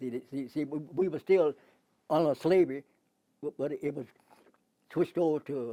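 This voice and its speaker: A man speaks at a moderate pace in a fairly high voice with a dark, mellow tone and fairly even intonation. The sound is dry and close with no echo, and his pauses are long and frequent. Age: 80s+. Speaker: civil rights activist. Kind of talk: interview answer.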